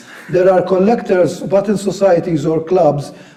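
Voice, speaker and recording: There is noticeable background noise behind a man speaking. His pitch is high and his pace moderate. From Malta, Vittoriosa. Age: 60s. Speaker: militaria collector and historian. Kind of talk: interview.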